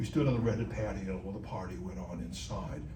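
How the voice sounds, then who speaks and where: Very fast male speech in an American accent, with audible room echo and noticeable background noise. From Los Angeles area, California. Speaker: poet. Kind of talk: talk and Q&A at a writers' meeting. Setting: meeting room with audience. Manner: halting, many fillers and restarts.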